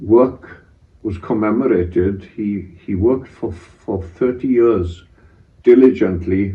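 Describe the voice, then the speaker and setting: A man with a Pembrokeshire accent speaks at a very slow pace. His tone is dark and mellow, and somewhat breathy. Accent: Welsh English, Pembrokeshire. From Wales. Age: 80s+. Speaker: retired head teacher. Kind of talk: oral history interview. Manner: halting, with frequent fillers.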